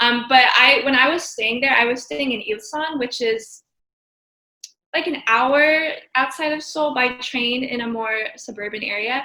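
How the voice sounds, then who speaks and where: Speaking fairly slowly with a General American accent, a woman uses a high pitch and ordinary pitch variation. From Oregon, US Pacific Northwest. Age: 20s. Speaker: travel photographer. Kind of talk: interview. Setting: video call.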